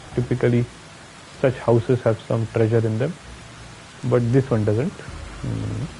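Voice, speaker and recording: A man with a strong Indian accent, long, frequent pauses, and noticeable background noise. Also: fairly slow pace. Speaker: gaming streamer. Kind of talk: live gameplay commentary. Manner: casual, thinking aloud.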